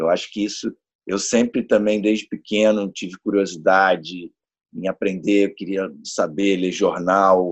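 A man's fairly low voice at a fairly slow pace, in a dry, close sound with no echo. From Niterói, Rio de Janeiro, Brazil. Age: 40s. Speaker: guest on astrology podcast. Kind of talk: casual chat. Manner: halting, repeats words.

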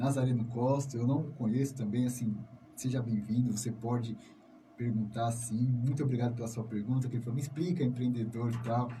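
A man's somewhat breathy, dark, mellow voice at a fairly quick pace, with fairly even intonation and audible room echo. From São Paulo, Brazil (south zone). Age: 30s. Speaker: community radio host. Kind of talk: radio interview.

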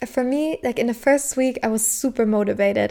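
A high-pitched woman with a German accent and fairly even intonation. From southern Germany. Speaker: podcast host. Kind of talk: solo personal-growth talk. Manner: casual, frequent laughter.

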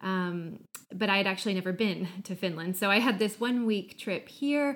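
A woman talks at a moderate pace with an American accent. Her pitch is medium. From US Midwest. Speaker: podcast guest, marketing professional. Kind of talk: casual chat.

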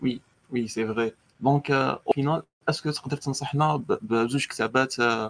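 This man talks at a moderate pace with ordinary pitch variation and a medium pitch. It is a normal speaking voice, with a dry, close sound and no echo. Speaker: student podcast host. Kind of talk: interview. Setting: live online session.

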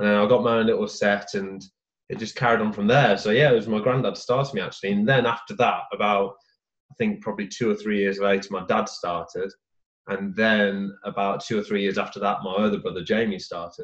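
A fairly low-pitched man with an English accent, at a fairly quick pace with fairly even intonation. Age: 20s. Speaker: golf coach. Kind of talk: casual chat.

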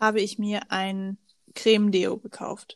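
In a very clean recording with a silent background, a woman speaks very slowly at a medium pitch with fairly even intonation. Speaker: podcast co-host, student. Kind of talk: casual chat.

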